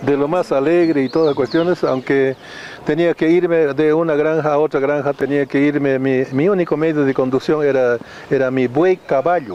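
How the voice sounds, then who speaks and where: A man talks at a moderate pace in a fairly high pitch, with fairly even intonation and very even loudness, against noticeable background noise. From Bolivia, Cochabamba highlands (colla). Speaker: music label founder and businessman. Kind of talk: interview. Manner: halting with many repetitions.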